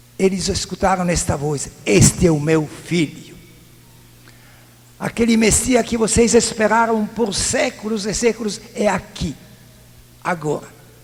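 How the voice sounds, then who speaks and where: A man's high-pitched voice with a non-native accent and ordinary pitch variation, at a fairly slow pace with long, frequent pauses, over noticeable background noise. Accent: foreign accent in Portuguese. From Italy. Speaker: priest. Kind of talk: sermon.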